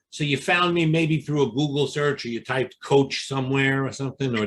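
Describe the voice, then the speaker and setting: Speaking with a Brooklyn accent, this man has a fairly high pitch. His pace is fairly quick. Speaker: exam prep coach. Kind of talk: interview. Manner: animated.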